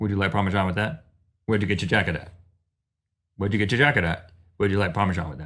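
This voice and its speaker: Using a put-on character voice, a man mumbles very fast in a fairly low pitch, with long, frequent pauses. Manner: fast and mumbling.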